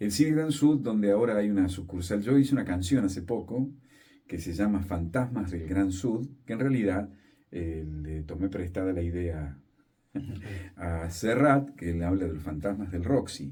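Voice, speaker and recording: A man speaks in a very deep, low voice with a dark, mellow tone and a somewhat breathy quality. His intonation is lively and his pace moderate. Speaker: radio announcer and journalist. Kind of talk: interview answer.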